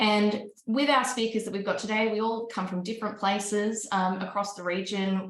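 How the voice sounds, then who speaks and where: A woman with an Australian accent talks at a fairly quick pace in a medium-pitched voice. Noticeable background noise and audible room echo fill the recording. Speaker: panel moderator, investment firm director. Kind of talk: panel discussion.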